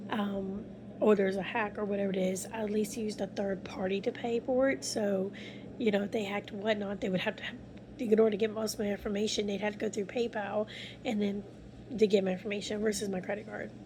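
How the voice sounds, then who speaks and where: Quiet and somewhat breathy, a woman speaks very fast at a medium pitch, her tone dark and mellow and her intonation monotone and flat. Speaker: vlogger. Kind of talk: casual vlog monologue. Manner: quiet, low volume; rambling, hesitant. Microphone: phone mic, no external mic.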